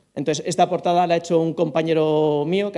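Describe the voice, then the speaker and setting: A man talks at a very fast pace in a dark, mellow tone. His pitch is fairly high and his intonation fairly even. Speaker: author and forester. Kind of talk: book presentation talk. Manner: swallows syllables.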